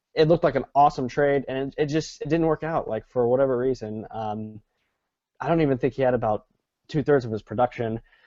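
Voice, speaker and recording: A man at medium pitch, very fast, with ordinary pitch variation and a dry, close sound with no echo. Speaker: sports podcast co-host. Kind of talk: casual sports discussion. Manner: slurring words, hesitant with fillers.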